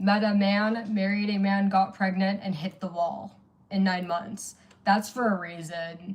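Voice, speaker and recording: A somewhat breathy woman at a fairly slow pace. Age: 40s. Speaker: livestreamer. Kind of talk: casual livestream chat.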